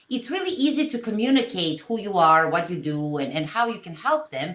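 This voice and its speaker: With a Serbian accent and vocal fry, a woman speaks in very wide pitch swings. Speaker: social media content creator. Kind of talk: interview.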